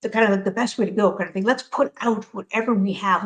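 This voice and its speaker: A woman's voice, somewhat breathy and medium in pitch, carries ordinary pitch variation. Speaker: crypto project community representative. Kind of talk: casual chat. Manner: fast; animated.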